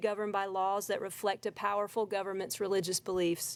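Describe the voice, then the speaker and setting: A woman with an American accent uses a normal speaking voice at a medium pitch and a fairly quick pace. The recording is very clean, with a silent background. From South Carolina. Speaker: member of the public giving testimony. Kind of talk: public testimony.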